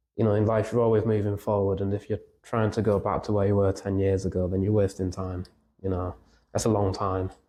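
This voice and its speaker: Over a quiet background, a man with a Yorkshire accent speaks at a fairly quick pace in a fairly low, dark, mellow voice with monotone, flat intonation. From Yorkshire, England. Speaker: musician in a band. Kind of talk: podcast interview. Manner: halting.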